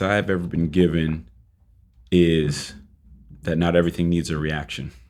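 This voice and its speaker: The speaker is a man with an American accent. His pitch is very deep and low. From Boston, Massachusetts. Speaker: fitness and boxing trainer, gym co-founder. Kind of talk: casual interview chat.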